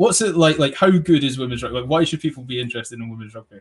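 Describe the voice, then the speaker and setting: A man is speaking. His pace is very fast. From England. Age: 20s. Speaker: podcast host. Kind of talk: casual chat.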